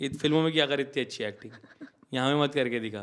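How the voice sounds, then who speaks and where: This man's pitch is fairly high, shows ordinary pitch variation, and comes in a normal speaking voice. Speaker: comedian and content creator. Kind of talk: podcast interview. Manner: casual, code-switching Hindi-English.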